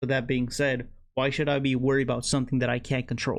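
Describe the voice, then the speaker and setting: This man speaks with a Spanish accent at a medium pitch. His intonation is monotone and flat. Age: 20s. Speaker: vlogger. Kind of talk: motivational monologue. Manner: self-described slurring at times; casual, many fillers.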